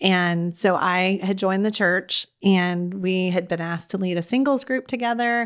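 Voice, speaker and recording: A woman with an American accent has an ordinary speaking voice at a medium pitch and ordinary pitch variation. She keeps a moderate pace with hardly any pauses. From Texas. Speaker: podcast host and life coach. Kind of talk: casual interview chat.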